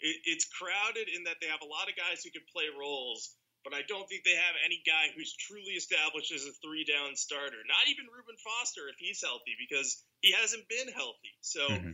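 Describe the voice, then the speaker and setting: Big swings in loudness, a fairly quick pace and hardly any pauses. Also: man. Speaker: podcast co-host and football analyst. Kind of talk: casual chat, sports podcast analysis.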